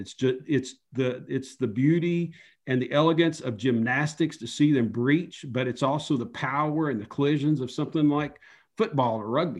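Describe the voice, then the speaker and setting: With an Appalachian accent, a man talks at a moderate pace. His pitch is fairly high, with ordinary variation. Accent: Appalachian Southern US. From US South, Upper East Tennessee. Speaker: underwater photojournalist. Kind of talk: interview. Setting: video call.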